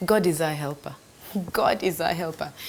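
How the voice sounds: A woman speaks with lively intonation. Her pitch is fairly low.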